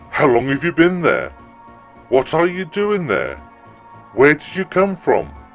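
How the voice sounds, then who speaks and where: A man talks with lively intonation. Music plays behind him. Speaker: storyteller. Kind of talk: ghost story reading.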